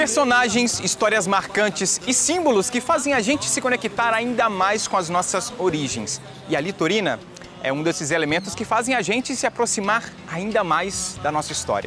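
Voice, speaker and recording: The talking proceeds at a moderate speed with music playing underneath. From Brazil, Porto Velho. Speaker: documentary narrator. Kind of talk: scripted narration.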